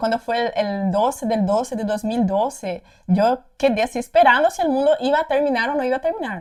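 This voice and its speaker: A woman speaks with a high pitch. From Paraguay, Brazilian parents. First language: Portuguese (speaking Spanish). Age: 20s. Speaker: content creator. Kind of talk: casual personal testimony. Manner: hesitant, many repetitions.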